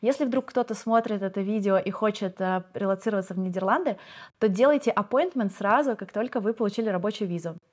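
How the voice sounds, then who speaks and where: At a very fast pace, a woman speaks at a medium pitch in a very clean recording with a silent background. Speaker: relocated expat. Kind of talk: casual interview chat.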